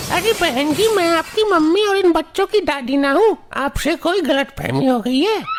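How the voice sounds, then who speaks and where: A woman uses a cartoonish character voice at an extremely high pitch, with lively intonation and hardly any pauses. She keeps a moderate pace over clear background noise. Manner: rustic, homely.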